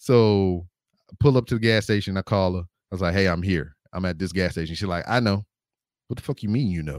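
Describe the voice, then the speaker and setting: A man's very deep, low voice at a fairly quick pace, with ordinary pitch variation, dry, close sound with no echo, and a very clean recording over a silent background. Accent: Southern US. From Louisiana. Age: 30s. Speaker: podcaster and army veteran. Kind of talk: casual chat.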